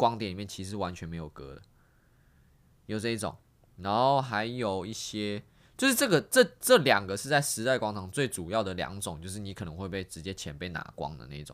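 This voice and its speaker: Speaking at a fairly quick pace with a Taiwanese accent, a man uses a fairly low pitch, lively intonation and big swings in loudness. The recording is very clean, with a silent background. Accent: Taiwanese Mandarin. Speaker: street dancer and exchange student. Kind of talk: casual chat.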